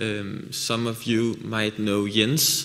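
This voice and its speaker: Audible room echo and noticeable background noise surround the speaker. He is a man with a medium pitch. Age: 20s. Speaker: visiting medical student. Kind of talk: self-introduction. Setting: church service.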